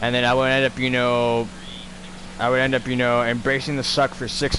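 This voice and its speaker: Over noticeable background noise, a man talks at a moderate pace with a medium pitch. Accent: American. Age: 20s. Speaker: gaming livestreamer, army veteran. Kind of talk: casual livestream chat. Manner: halting, many fillers.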